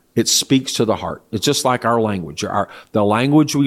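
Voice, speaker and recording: In a very clean recording with a silent background, a man with a plain, everyday voice and a fairly low pitch speaks at a moderate pace with lively intonation. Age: 60s. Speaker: church leader. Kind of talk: interview.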